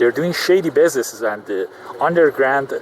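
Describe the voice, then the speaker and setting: Against noticeable background noise, a man with a non-native accent speaks at a fairly quick pace, his fairly high pitch making very wide swings. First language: not English. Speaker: vlogger. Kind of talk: casual vlog monologue. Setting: in a car in traffic. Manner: halting, many fillers.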